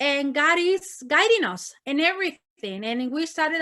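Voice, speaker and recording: A bright, sharp tone with a Spanish accent. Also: woman. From northern Mexico, Monterrey. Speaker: missionary. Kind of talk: testimony. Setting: ministry meeting talk. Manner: repetitive fillers, animated.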